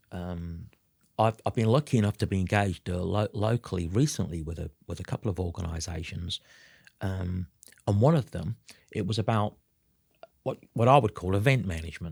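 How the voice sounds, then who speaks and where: In a very clean recording with a silent background and a dry, close sound with no echo, a man with a very deep, low pitch speaks somewhat breathily at a fairly quick pace, with ordinary pitch variation and long, frequent pauses. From South Africa, Durban. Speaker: business consultant and trainer. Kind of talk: interview. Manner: hesitant, many fillers and repeats.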